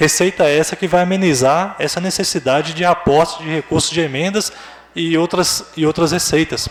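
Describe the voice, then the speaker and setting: A man's high voice at a moderate pace, with fairly even intonation and noticeable background noise. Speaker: hospital administrative director. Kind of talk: public meeting presentation.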